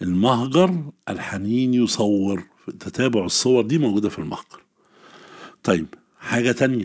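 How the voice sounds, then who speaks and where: A man's medium-pitched voice with an Egyptian accent and ordinary pitch variation, on a very clean recording with a silent background. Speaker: Arabic literature teacher. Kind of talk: exam-prep lesson.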